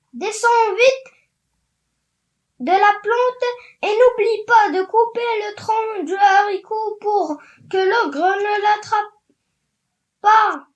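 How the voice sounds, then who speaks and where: Putting on a character voice at an extremely high pitch, a woman speaks at a very slow pace with long, frequent pauses. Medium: read story.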